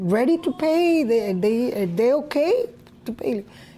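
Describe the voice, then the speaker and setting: Using very wide pitch swings, a woman with a Spanish accent speaks at a very slow pace. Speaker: colonia resident activist. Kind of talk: documentary testimony.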